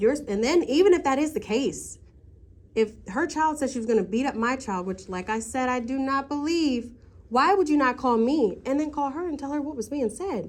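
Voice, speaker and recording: A loud, high-pitched woman's voice at a moderate pace. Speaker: parent at school meeting. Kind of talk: heated argument.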